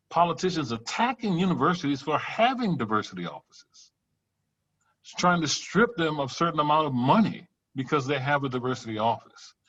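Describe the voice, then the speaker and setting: A man with a Louisiana accent, fairly high in pitch with very wide pitch swings, in a quiet background. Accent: Southern US, Louisiana. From US South, Louisiana bayou country. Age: 60s. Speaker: professor. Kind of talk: workshop Q&A.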